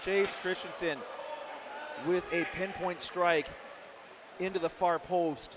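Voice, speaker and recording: A man with an American accent at a high pitch, very slow, with fairly even intonation, very even loudness, long, frequent pauses and noticeable background noise. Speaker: play-by-play sports commentator. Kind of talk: live commentary. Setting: broadcast booth at a live match.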